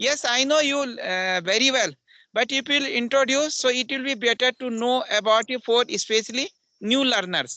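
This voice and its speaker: Projecting a raised voice, a man speaks at an extremely high pitch with a bright, sharp tone and ordinary pitch variation, in a dry, close sound with no echo. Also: moderate pace, quiet background. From India, Uttarakhand (Pauri Garhwal). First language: Garhwali (also Hindi). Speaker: English teacher. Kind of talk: English conversation practice.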